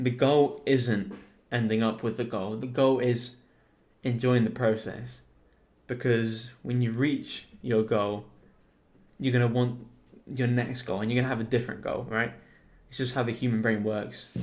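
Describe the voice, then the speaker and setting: A man talks in a British accent at a medium pitch. He keeps a moderate pace with long, frequent pauses. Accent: UK. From Spain. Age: 20s. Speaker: entrepreneur and video editor. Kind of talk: casual vlog monologue. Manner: animated.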